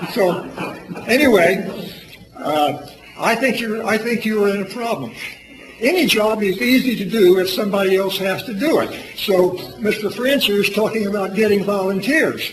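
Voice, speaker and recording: A man speaks in a high voice at a moderate pace with ordinary pitch variation and long, frequent pauses, with audible room echo and noticeable background noise. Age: 80s+. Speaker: public commenter at city council meeting. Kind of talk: public comment at council meeting. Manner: loud, intense; halting, repetitive.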